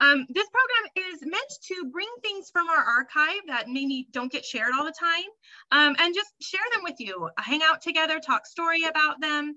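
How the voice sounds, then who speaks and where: A woman's raised, projected voice, bright and sharp in tone, with lively intonation at a moderate pace. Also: quiet background. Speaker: program host. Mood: warm, welcoming. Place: home room. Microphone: webcam.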